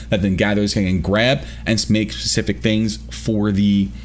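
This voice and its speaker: Over noticeable background noise, a man talks with a fairly low pitch. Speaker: gaming youtuber. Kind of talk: video commentary. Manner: fast; hesitant, many fillers.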